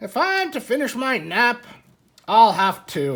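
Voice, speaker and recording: This is a put-on character voice with very wide pitch swings. It moves at a fairly slow pace. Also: woman, high pitch for a woman. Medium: read story. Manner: brisk, self-assured.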